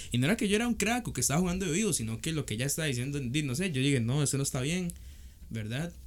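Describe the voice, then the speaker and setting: A man talks at a very fast pace with a fairly high pitch. His pitch swings very widely. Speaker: podcast co-host. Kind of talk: casual chat.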